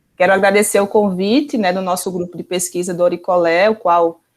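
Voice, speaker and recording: A woman with a Pernambuco accent speaks at a medium pitch and a moderate pace with fairly even intonation. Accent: Pernambuco accent, noticeable. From Pernambuco, Brazil. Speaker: professor, researcher. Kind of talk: online talk.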